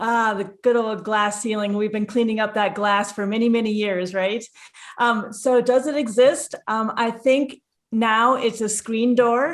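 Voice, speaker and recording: Someone speaks at a fairly slow pace with a Minnesotan accent and fairly even intonation. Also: woman, fairly high pitch for a woman. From Minnesota, US. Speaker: airline pilot. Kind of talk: podcast interview.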